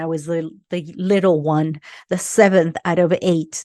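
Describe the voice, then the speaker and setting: A woman talks at a fairly low pitch with fairly even intonation. Her tone is dark and mellow, and the sound is dry and close with no echo. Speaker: podcast host, life coach. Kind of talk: podcast monologue. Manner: casual, hesitant with fillers.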